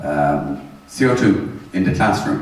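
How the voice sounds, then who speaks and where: Noticeable background noise and audible room echo accompany a man speaking with an Irish accent. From Ireland. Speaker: energy management trainer. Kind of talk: seminar lecture. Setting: seminar room with audience and interpreters. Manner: conversational, interactive.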